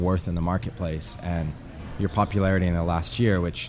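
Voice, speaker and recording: A man speaks at a fairly quick pace with a very deep, low pitch. Music plays in the background. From Canada, Ottawa. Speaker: DJ and producer. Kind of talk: interview.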